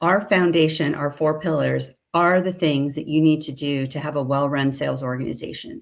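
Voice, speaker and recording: A woman speaks in a very deep, low pitch. Her pitch varies in an ordinary way. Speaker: company president presenting sales research. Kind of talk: webinar presentation. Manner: fast.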